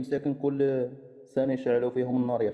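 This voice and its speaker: A man speaks at a moderate pace. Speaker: caller on live stream. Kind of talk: heated debate. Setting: live stream. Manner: interrupting.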